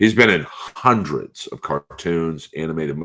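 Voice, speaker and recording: This man has a very deep, low pitch and audible vocal fry. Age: 50s. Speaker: comedian and voice actor. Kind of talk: casual chat.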